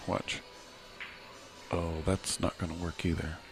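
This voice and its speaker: Quiet and very deep, a man's low voice moves at a fairly slow pace with music in the background. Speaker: pool commentator. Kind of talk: live commentary.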